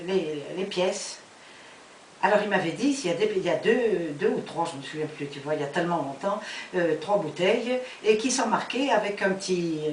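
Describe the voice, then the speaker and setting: A woman speaks over noticeable background noise. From France. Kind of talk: storytelling, personal memories. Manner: hesitant, searching for words.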